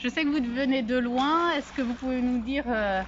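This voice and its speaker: Speaking at a moderate pace, a woman uses a high pitch with fairly even intonation. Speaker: guesthouse host. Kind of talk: interview questions.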